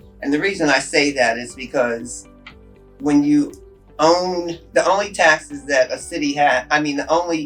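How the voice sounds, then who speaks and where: A woman's very deep, low voice with music in the background. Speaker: city mayor. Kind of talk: interview answer.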